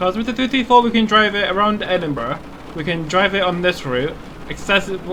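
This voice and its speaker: With noticeable background noise behind him, a high-pitched man projects a raised voice at a fairly quick pace and lively intonation. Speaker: gaming video creator. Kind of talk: gameplay commentary. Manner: stuttering; casual, thinking aloud.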